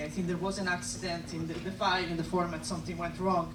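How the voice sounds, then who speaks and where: Audible room echo mixes with noticeable background noise throughout the clip. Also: woman. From Italy, Rome. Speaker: amateur filmmaker. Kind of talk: festival Q&A introduction. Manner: halting, many fillers.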